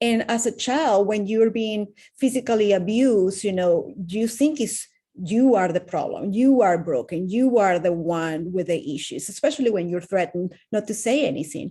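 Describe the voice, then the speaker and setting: On a very clean recording with a silent background, a woman with a Venezuelan accent speaks at a medium pitch and a moderate pace, her dark, mellow tone carrying lively intonation. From Venezuela, Caracas. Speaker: wellness coach. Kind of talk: interview testimony.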